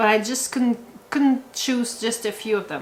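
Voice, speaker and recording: A woman speaks in a high voice with a Quebec accent. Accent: French-Canadian accent in English. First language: French. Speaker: homesteading vlogger. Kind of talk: casual talk to camera. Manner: halting, many fillers and repeats.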